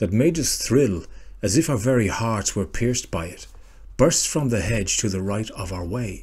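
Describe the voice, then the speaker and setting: With an Irish accent, a man speaks at medium pitch and a moderate pace, somewhat breathy and dark and mellow in tone, with lively intonation. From Ireland. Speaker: history and folklore storyteller. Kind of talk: folklore reading.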